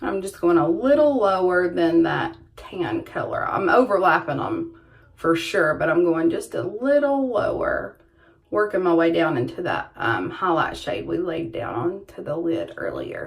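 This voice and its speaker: A woman speaks in a Southern US accent. Noticeable background noise is present. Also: fairly slow pace. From US South. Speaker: beauty vlogger. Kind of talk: makeup tutorial. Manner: casual chatty.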